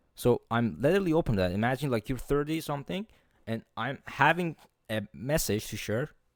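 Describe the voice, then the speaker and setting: This man speaks at a moderate pace with a non-native accent and a medium pitch, his voice making very wide pitch swings. The recording is very clean with a silent background and a dry, close sound with no echo. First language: not English. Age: 20s. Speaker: motivational podcaster. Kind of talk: solo podcast monologue. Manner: forceful, profanity-laden; occasional stumbles.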